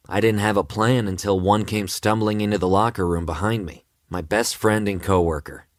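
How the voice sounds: A natural reading voice carries fairly even intonation while the background stays quiet.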